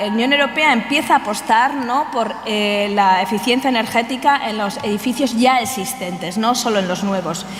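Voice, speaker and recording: Through audible room echo and noticeable background noise, a woman speaks at a fairly high pitch with ordinary pitch variation. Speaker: researcher. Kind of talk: conference talk. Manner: fast; hesitant, many fillers.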